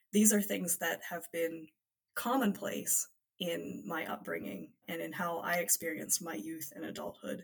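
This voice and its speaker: A woman speaks at a fairly slow pace with an American accent and vocal fry. Her fairly low pitch swings very widely. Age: 20s. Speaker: political organization leader. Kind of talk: interview.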